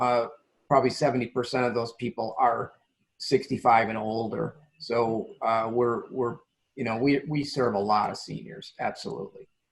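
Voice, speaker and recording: Medium pitch from a man with vocal fry, ordinary pitch variation and a moderate pace. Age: 60s. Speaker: nonprofit CEO. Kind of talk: interview.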